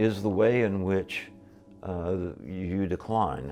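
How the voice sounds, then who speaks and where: A man speaks in a dark, mellow, fairly low voice with ordinary pitch variation. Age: 70s. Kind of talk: documentary interview. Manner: halting, many fillers.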